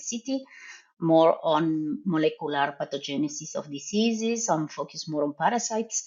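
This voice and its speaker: A woman's fairly low voice at a moderate pace, with very wide pitch swings. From Argentina. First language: Spanish. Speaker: professor and veterinary researcher. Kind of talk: podcast interview.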